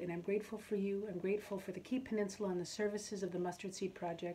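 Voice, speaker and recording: The woman's tone is warm and her intonation fairly even. Light background noise is audible. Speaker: auctioneer. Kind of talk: casual talk to camera. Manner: warm, friendly. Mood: warm, grateful. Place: home room. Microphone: phone near.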